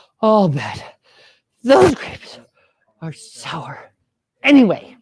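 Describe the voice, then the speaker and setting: A female-sounding voice puts on a character voice at a medium pitch, with very wide pitch swings. The pace is very slow. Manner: hungry.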